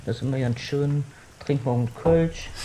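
A man speaks with a fairly high-pitched voice. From Cologne. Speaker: podcast guest. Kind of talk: casual chat.

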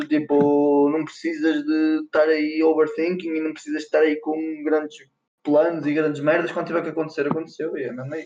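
Fairly high in pitch, a man talks at a fairly quick pace in a monotone, flat intonation. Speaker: rapper. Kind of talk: casual chat. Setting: voice call. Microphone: poor audio quality.

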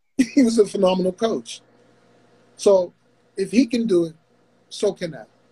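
A dark, mellow tone with ordinary pitch variation, a moderate pace, big swings in loudness and long, frequent pauses. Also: man, high pitch for a man. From Pittsburgh. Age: 50s. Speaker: boxing coach. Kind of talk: casual chat.

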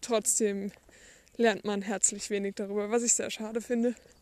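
A woman's fairly high voice at a moderate pace, monotone and flat, in a very clean recording against a silent background. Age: young. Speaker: podcaster, school leaver. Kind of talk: casual monologue. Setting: outdoors, walking. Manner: unscripted, somewhat halting.

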